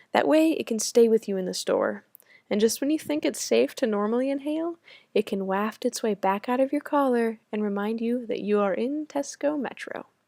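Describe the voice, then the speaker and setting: This is a plain, everyday voice with an American accent, ordinary pitch variation and a moderate pace. The sound is dry and close with no echo, on a very clean recording with a silent background. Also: woman. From United States. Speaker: study-abroad student. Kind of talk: reading aloud personal essay.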